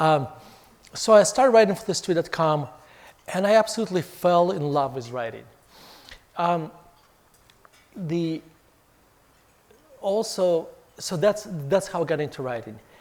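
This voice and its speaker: Over noticeable background noise, a man with a non-native accent speaks in a high pitch at a moderate pace. His speech has long, frequent pauses. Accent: foreign. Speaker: author and investment firm CEO. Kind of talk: fireside chat talk. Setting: hotel event with audience. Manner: halting with fillers.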